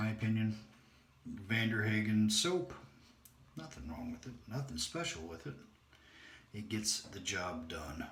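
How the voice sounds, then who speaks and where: Amid noticeable background noise and audible room echo, a man with a fairly low voice speaks at a fairly slow pace, making very wide pitch swings and long, frequent pauses. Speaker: shaving video creator. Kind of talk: casual tutorial. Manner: quiet while concentrating.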